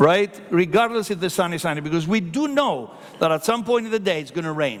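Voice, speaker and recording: An animated man with a high pitch and lively intonation at a fairly quick pace, over noticeable background noise. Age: 60s. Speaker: hotel company executive. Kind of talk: conference panel talk.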